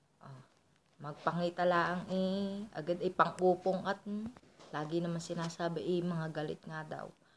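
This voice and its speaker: A woman with a Batangas accent, somewhat breathy, fairly low in pitch, at a moderate pace. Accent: Batangueño Tagalog. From Philippines, Batangas. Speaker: vlogger. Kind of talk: casual storytelling. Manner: sounds angry by default.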